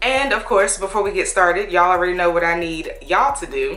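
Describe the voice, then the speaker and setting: Over music in the background, a woman talks at a fairly quick pace with ordinary pitch variation and audible room echo. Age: 30s. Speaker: YouTuber vlogger. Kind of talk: casual vlog talking to camera. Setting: in her bedroom at home. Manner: animated, conversational.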